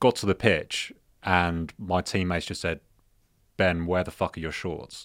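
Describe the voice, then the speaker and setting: A man with a British accent speaks in a very deep, low voice. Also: very clean recording, silent background. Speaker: podcast host. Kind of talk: casual chat.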